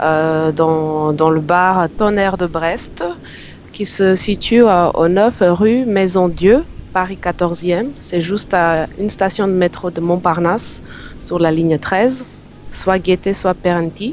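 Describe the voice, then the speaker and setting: A woman's fairly low voice at a very slow pace, over noticeable background noise. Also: ordinary pitch variation. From North Macedonia. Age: 30s. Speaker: singer-songwriter. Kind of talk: radio interview. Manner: halting.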